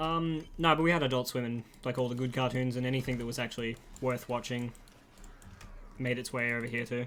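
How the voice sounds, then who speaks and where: In an Australian accent, a man speaks at a fairly quick pace with a medium pitch and fairly even intonation. He leaves long, frequent pauses. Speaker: gaming streamer. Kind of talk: casual livestream chat while gaming. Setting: live stream.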